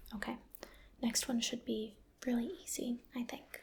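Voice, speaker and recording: Soft-spoken and gentle, a woman speaks fairly slowly at a fairly high pitch in a dark, mellow tone. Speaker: ASMR roleplay doctor. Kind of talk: ASMR medical roleplay exam, personal attention. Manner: soft-spoken, gentle.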